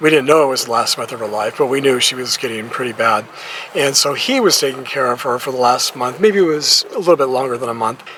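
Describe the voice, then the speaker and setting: A man at a medium pitch and a very fast pace, with ordinary pitch variation over noticeable background noise. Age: 60s. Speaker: retiree vlogger. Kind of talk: casual monologue vlog. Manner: conversational, hesitant restarts.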